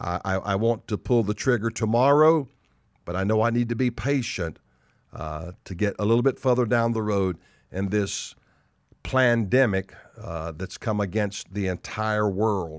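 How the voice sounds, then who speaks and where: A man with a Southern US accent talks at a fairly slow pace in a fairly low pitch. The recording is very clean, with a silent background. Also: ordinary pitch variation. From US South. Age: 60s. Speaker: pastor. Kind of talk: sermon. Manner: emphatic, repeats lines for effect; animated.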